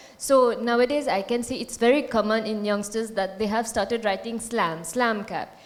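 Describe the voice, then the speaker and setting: With a Mauritian accent, a woman speaks at a moderate pace and a fairly high pitch. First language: Mauritian Creole. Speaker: Hindi scholar. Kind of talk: panel discussion.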